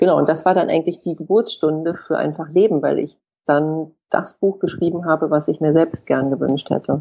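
Her pitch very deep and low, a woman speaks at a moderate pace in a dark, mellow tone with vocal fry and fairly even intonation. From Hamburg, northern Germany. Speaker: author. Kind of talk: interview.

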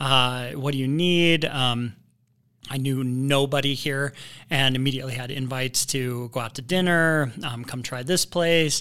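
Speaking at a fairly slow pace with an American accent, a man has a bright, sharp tone at a medium pitch, heard on a very clean recording against a silent background. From Indiana. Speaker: local resident guest. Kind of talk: casual chat. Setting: studio.

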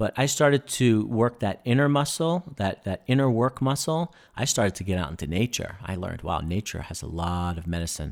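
A man talks at a fairly quick pace with hardly any pauses and very wide pitch swings. The recording is very clean, silent in the background, with a dry, close sound and no echo. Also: medium pitch for a man. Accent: New York. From New York City. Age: 30s. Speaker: breathwork and wellness instructor, military veteran. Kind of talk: casual interview chat.

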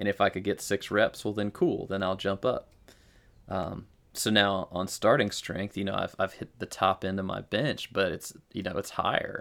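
A man's unremarkable speaking voice at fairly low pitch, with fairly even intonation and a moderate pace, on a very clean recording with a silent background. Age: 30s. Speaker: military veteran and lifter. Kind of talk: casual chat.

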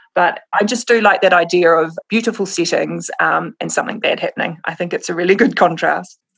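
Hardly pausing at all, a woman with a New Zealand accent talks at a fairly quick pace. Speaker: crime novelist. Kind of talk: casual interview chat.

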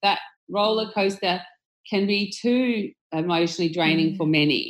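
In an Australian accent, a woman speaks at a moderate pace with very wide pitch swings, on a very clean recording with a silent background. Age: 40s. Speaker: tech company executive. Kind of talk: interview.

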